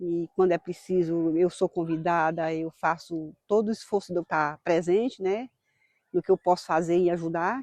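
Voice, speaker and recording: A woman with an ordinary speaking voice talks at a fairly low pitch and a moderate pace, with fairly even intonation, a dry, close sound with no echo, and a quiet background. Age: 60s. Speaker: farmer. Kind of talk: documentary interview. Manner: casual, frequent tag questions.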